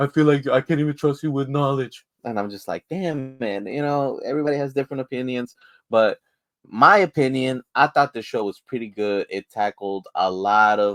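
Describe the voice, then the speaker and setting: Recorded with a dry, close sound and no echo, a man talks at a medium pitch. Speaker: podcast host, TV reviewer. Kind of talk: casual review monologue. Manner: casual, conversational.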